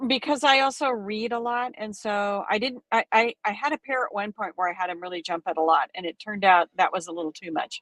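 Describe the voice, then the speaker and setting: A woman with an ordinary speaking voice talks at a fairly quick pace with hardly any pauses, medium pitch and lively intonation, in a dry, close sound with no echo. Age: 60s. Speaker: needlework shop owner and stitch-along host. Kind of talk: casual chat on livestream.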